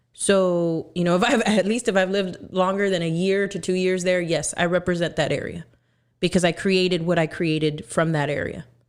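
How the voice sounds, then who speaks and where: In a very clean recording with a silent background, a woman with an American accent speaks at a fairly low pitch with fairly even intonation. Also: moderate pace. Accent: Mexican American Texan English. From Texas border town. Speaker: musician and content creator. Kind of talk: casual chat.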